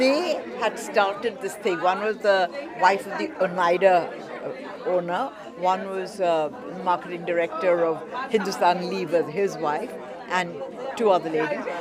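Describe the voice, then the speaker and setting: Fairly slow speech with ordinary pitch variation, audible room echo and crowd noise in the background. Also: woman, medium pitch for a woman. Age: 80s+. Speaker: art auctioneer. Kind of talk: interview.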